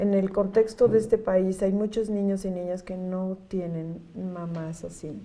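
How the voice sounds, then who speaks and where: Speaking at a fairly slow pace with hardly any pauses, a woman with a central Mexican accent has a medium pitch, a dark, mellow tone, monotone, flat intonation, and big swings in loudness. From Mexico City. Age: 60s. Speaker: NGO executive director. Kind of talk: interview. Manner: warm, conversational.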